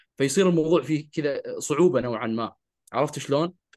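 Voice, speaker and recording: A man with a fairly high pitch speaks at a fairly quick pace in an ordinary speaking voice. The background is quiet. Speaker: podcast co-host who stutters. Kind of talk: casual conversational podcast chat.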